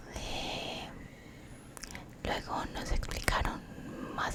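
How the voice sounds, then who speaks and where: Noticeable background noise fills the clip. Under it, a woman whispers. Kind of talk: ASMR storytime, soft-spoken personal story. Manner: soft-spoken, whispering.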